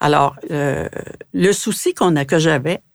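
A woman's very deep, low-pitched voice. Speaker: museum founder. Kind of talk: interview.

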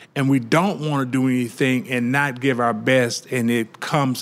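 With a Louisiana accent, a man speaks at medium pitch and a fairly slow pace. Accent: Southern US (Louisiana). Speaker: restaurant co-owner. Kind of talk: interview. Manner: animated.

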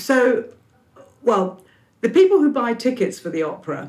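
A woman speaks with a London accent, her pitch high and swinging very widely. She keeps a moderate pace. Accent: British English, London. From London, England. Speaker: opera company leader. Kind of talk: interview.

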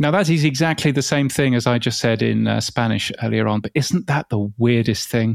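Spoken with a British accent and hardly any pauses, this comes through on a very clean recording against a silent background. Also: man, medium pitch for a man, ordinary pitch variation, fairly quick pace. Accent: English, clearly British. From England. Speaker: podcast industry expert. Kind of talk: casual interview chat. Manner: measured, hesitant with filler words.

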